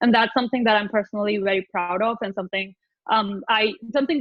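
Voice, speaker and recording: The speaker is a woman with a medium-pitched voice. She talks very fast. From Pakistan. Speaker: data scientist. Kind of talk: talk presentation. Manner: loud, animated.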